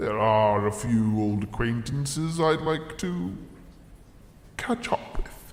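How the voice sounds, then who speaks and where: Against a clear echo, a man puts on a character voice at medium pitch and a fairly slow pace. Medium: audio drama. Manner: pompous, self-pitying.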